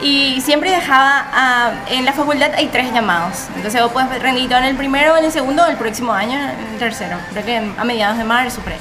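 In a Paraguayan accent, a woman speaks fairly quickly in a high, raised, projected voice with ordinary pitch variation and hardly any pauses, over noticeable background noise and audible room echo. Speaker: podcast co-host, accounting student. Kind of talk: casual chat.

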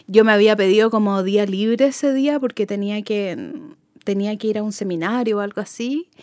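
A woman with a normal speaking voice talks at a moderate pace, fairly high in pitch with ordinary variation. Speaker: music fan, contributor. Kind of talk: casual chat.

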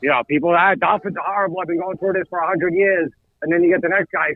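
A man with an American accent speaks at a high pitch and a very fast pace. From New York. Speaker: sports podcast co-host. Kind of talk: casual chat.

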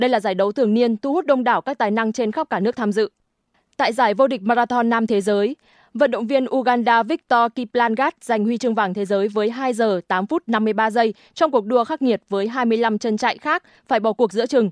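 A woman's fairly high voice at a very fast pace with ordinary pitch variation, dry and close with no echo against a quiet background. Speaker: news reader. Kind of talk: news reading.

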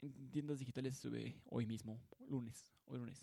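The voice carries a dark, mellow tone. It moves at a moderate pace with fairly even intonation. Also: man, dry, close sound with no echo. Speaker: podcast host. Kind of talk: casual monologue. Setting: home studio. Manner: halting.

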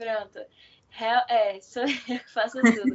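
A woman with a fairly high voice speaks with fairly even intonation. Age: 20s. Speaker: seamstress and small clothing shop owner. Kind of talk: casual interview. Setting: online call. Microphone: unstable connection.

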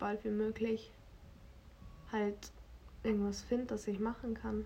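Somewhat breathy and fairly high in pitch, a woman speaks at a moderate pace with a dark, mellow tone and monotone, flat intonation. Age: 20s. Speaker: podcast co-host, university student. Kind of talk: casual chat.

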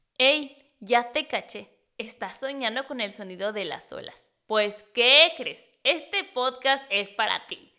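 This woman's voice sits fairly high, with a bright, sharp tone. Her intonation is lively and her delivery animated. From Mexico City. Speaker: podcast host and snorkel guide. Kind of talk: podcast intro.

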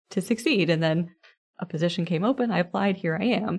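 Against a quiet background, a woman with a plain, everyday voice speaks fairly quickly in a fairly low pitch, with ordinary pitch variation. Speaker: college administrator. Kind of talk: interview.

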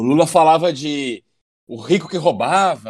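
A man talks at a fairly slow pace with a fairly high pitch. He has an ordinary speaking voice. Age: 30s. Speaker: muay thai instructor. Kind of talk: casual chat.

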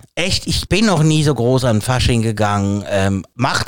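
Male voice with very wide pitch swings. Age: 40s. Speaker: podcast co-host. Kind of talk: casual chat.

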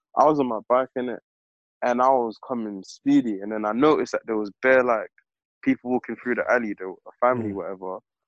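Very fast speech runs along with fairly even intonation. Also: man, medium pitch for a man. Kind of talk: casual chat. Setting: video call.

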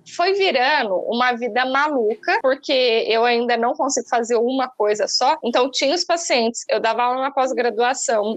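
Her voice is high-pitched, and this woman keeps a very even loudness with hardly any pauses. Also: ordinary pitch variation, moderate pace. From interior of São Paulo state, Brazil. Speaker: nutritionist and entrepreneur. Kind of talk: casual interview.

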